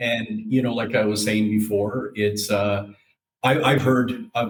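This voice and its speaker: With a western Canadian accent, a man speaks at a moderate pace. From Alberta, Canada (Calgary). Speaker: insurance fleet safety specialist. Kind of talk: casual interview. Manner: halting, many fillers.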